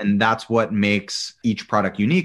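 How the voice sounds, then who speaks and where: In a General American accent and a normal speaking voice, a man speaks at a moderate pace with a fairly low pitch on a very clean recording with a silent background. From Colorado, US. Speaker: chef and entrepreneur. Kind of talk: casual interview.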